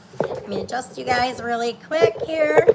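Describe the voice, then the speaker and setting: A high-pitched woman's voice at a very slow pace, with noticeable background noise and audible room echo. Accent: American. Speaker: fitness instructor. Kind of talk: workout tutorial. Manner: loud.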